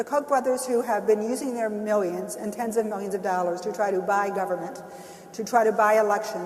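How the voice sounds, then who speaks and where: A woman's voice shows ordinary pitch variation against noticeable background noise. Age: 60s. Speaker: labor union leader. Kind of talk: panel discussion. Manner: halting.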